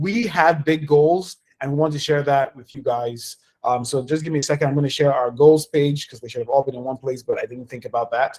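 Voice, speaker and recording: A man with a fairly high pitch and somewhat breathy voice, at a fairly quick pace, with ordinary pitch variation and big swings in loudness. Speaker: community organization leader hosting town hall. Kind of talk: online town hall presentation. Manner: fast.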